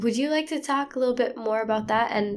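A woman speaks in an ordinary speaking voice, fairly high in pitch, with ordinary pitch variation. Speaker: podcast host. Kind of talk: casual conversation between friends, interview.

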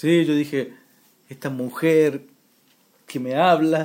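The intonation stays fairly even. The pace is very slow. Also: man. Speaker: amateur radio show co-host. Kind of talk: casual joking chat.

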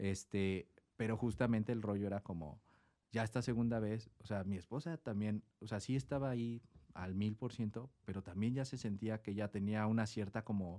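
At a moderate pace, a man talks in a dark, mellow tone at a fairly low pitch, in a very clean recording with a silent background. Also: ordinary pitch variation. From Mexico City. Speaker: chef. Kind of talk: casual chat.

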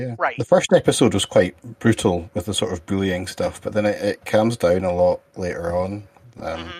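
A man with a Scottish accent, fairly low in pitch with ordinary pitch variation, at a moderate pace, in a dry, close sound with no echo. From Scotland. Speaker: podcast co-host. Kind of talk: casual chat podcast.

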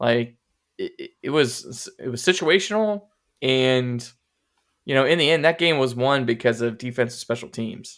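A man with a normal speaking voice talks at a moderate pace in a medium pitch, his intonation lively, on a very clean recording with a silent background. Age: 30s. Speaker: sports podcast co-host. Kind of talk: casual chat.

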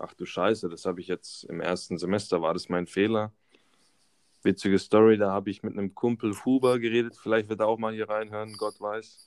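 At a fairly quick pace, a man with an unremarkable speaking voice talks in a fairly low pitch with fairly even intonation, the sound dry and close with no echo. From Baden-Württemberg, Karlsruhe area. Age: 20s. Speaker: mechanical engineering student. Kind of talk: casual chat.

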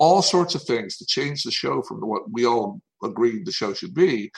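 A man with an ordinary speaking voice, medium pitch, lively intonation and fairly slow pace. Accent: American. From US South, Tennessee. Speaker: TV animation writer and show creator. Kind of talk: interview.

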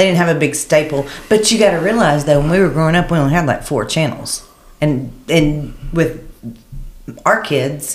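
Ordinary pitch variation at a moderate pace. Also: woman, very deep, low pitch for a woman. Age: 50s. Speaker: podcast co-host. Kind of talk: casual chat.

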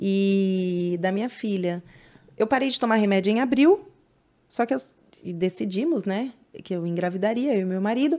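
A woman with very wide pitch swings. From São Paulo, East Zone (Penha). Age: 30s. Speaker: hairdresser. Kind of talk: casual interview chat.

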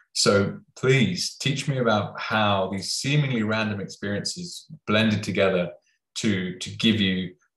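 With a British accent, a man talks at a fairly low pitch with ordinary pitch variation. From UK. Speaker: podcast host. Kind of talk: interview.

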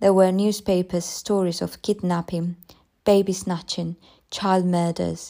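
Plain reading aloud with fairly even intonation against a quiet background.

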